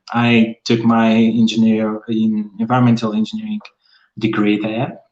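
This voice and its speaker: A fairly slow pace and fairly even intonation, with a Portuguese accent. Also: man. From northern Portugal. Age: 30s. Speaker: environmental engineer. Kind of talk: casual chat. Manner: halting.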